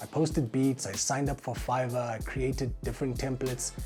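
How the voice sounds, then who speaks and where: Music plays in the background. A man talks at medium pitch with a South African accent. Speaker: voice actor; music producer. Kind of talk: casual talk to camera.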